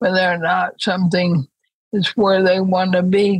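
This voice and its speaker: A woman's medium-pitched, somewhat breathy voice in a monotone, flat intonation. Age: 80s. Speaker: author and thinker. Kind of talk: interview conversation.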